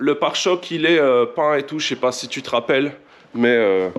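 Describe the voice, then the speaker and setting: The speaker is a man. His pace is fairly slow. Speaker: car tuning youtuber. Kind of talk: casual vlog tutorial. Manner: casual, hesitant.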